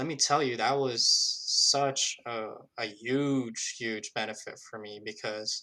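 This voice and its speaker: A man's medium-pitched voice with a non-native accent, bright and sharp in tone, at a very slow pace, with fairly even intonation and big swings in loudness. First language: not English. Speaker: recent college graduate. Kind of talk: interview. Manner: many fillers, self-corrections.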